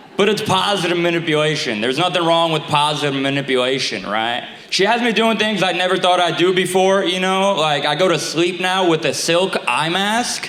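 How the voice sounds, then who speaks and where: A man with a New York accent talks at a fairly quick pace in a high voice, his loudness very even. Noticeable background noise and audible room echo are present. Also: ordinary pitch variation. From Staten Island, New York. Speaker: stand-up comedian. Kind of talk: stand-up. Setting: stage with audience. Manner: halting.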